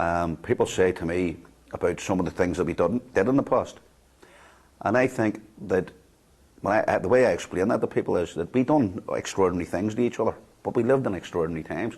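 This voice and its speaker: Talking very fast but with long, frequent pauses, a man uses a fairly low pitch with ordinary pitch variation. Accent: Belfast. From Northern Ireland, Belfast (Greater Shankill). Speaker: former loyalist prisoner, ex-combatant peace worker. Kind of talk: documentary interview. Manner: halting, many repetitions.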